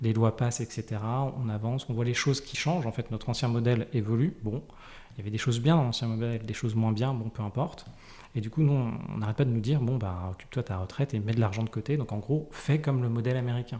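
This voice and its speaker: The man talks very fast at a medium pitch, with ordinary pitch variation. His tone is dark and mellow, and somewhat breathy. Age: 30s. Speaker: early retiree and financial independence advocate. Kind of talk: interview. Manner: halting.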